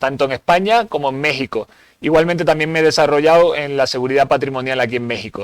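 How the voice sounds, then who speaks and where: A Spanish accent in a dry, close sound with no echo. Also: man. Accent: Spanish (Spain). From Spain. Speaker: security instructor. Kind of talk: seminar lecture. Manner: hesitant with fillers.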